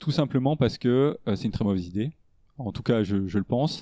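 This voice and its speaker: A man speaks at a medium pitch in a dark, mellow tone, with ordinary pitch variation. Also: dry, close sound with no echo, quiet background. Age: 30s. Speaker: e-commerce operations director. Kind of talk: interview. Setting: at home. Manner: halting.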